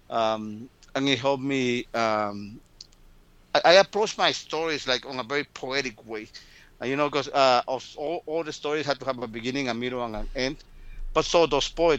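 A man speaks at a medium pitch and moderate pace with ordinary pitch variation. His tone is clear, smooth and fairly bright.

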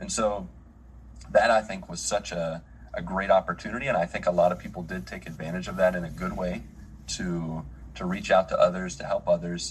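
Speaking in an Appalachian accent with a very deep, low pitch, a man moves at a fairly quick pace with big swings in loudness. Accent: American, Appalachian. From US, West Virginia. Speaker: missionary pastor. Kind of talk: casual chat.

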